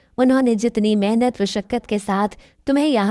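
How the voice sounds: The clip features a natural reading voice.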